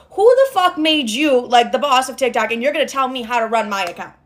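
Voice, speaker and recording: Pitched high, a woman's voice makes very wide pitch swings. Noticeable background noise is present. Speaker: influencer. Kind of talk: storytime monologue. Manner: animated.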